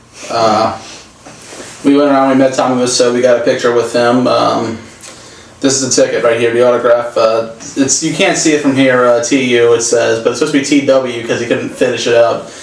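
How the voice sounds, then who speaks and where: In a room with audible echo and noticeable background noise, a man talks at a fairly quick pace in a medium pitch, flat and monotone, with very even loudness. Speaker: film reviewer. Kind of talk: casual chat. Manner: soft-spoken; halting.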